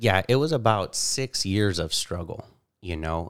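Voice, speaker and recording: In a very clean recording with a silent background, a man with an American accent talks at a moderate pace in a fairly low pitch, an ordinary speaking voice. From California, Bakersfield. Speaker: insurance and annuity agent. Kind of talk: interview.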